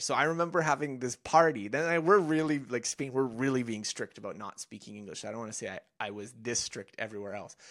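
A man with a plain, everyday voice speaks at a fairly high pitch and fairly quick pace with lively intonation, on a very clean recording with a silent background. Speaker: author and learning blogger. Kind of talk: casual interview chat.

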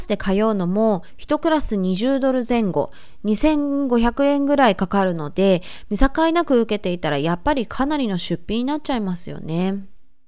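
With very wide pitch swings, a woman speaks at a moderate pace in a fairly high pitch. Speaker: dancer and vlogger. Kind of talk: casual informative talk to camera.

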